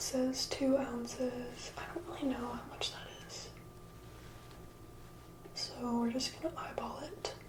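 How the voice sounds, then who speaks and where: Someone whispers with long, frequent pauses over noticeable background noise. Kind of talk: ASMR video, casual talk to camera. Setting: close microphone. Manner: whispered, soft-spoken.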